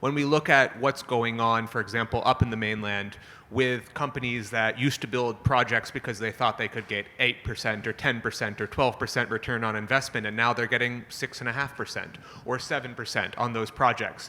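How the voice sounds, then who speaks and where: A loud man talks fairly quickly in a bright, sharp tone, his intonation flat and monotone. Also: medium pitch for a man. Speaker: panelist, climate finance executive. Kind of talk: panel discussion. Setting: conference stage with audience.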